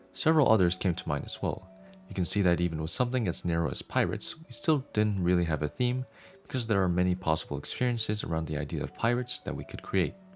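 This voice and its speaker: A man's very deep, low voice at a very fast pace with lively intonation, music playing in the background. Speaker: audiobook narrator. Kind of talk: reading aloud.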